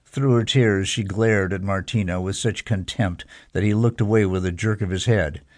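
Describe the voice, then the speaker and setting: This is a man speaking against a quiet background. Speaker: audiobook narrator. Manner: dramatic, shifting between characters: stern judge, tearful sobbing mother, brisk lawyers; measured, steady courtroom pacing with a wry first-person narrator.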